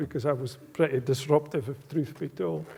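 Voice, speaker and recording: Speaking fairly quickly in a strong Aberdeenshire accent, a man has a dark, mellow tone and ordinary pitch variation, recorded very cleanly over a silent background. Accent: strong rural Aberdeenshire Scots. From Scotland, rural Aberdeenshire. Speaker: business executive giving a guest lecture. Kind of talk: public lecture.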